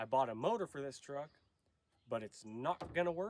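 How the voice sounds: A nasal man's voice at medium pitch, lively intonation and a moderate pace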